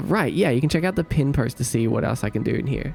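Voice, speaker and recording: Over background music, a man with a fairly high pitch races along at a very fast pace, his intonation lively and his loudness very even. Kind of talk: casual, friendly.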